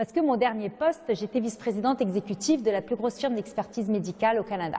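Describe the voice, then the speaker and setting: A woman speaks very fast at a fairly high pitch. Her pitch varies in an ordinary way. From Lebanon. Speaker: nonprofit founder and president. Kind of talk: interview.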